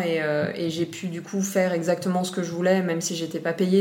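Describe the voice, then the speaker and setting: Amid audible room echo and noticeable background noise, a woman speaks at a medium pitch in a monotone, flat intonation. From Réunion Island. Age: 30s. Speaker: marine biology graduate. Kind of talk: interview. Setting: at her home. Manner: hesitant, many fillers.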